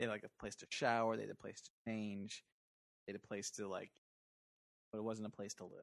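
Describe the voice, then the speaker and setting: A man with a fairly low pitch speaks fairly quickly in a flat monotone, with big swings in loudness and long, frequent pauses. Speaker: podcast co-host. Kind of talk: casual chat. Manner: talks low sometimes.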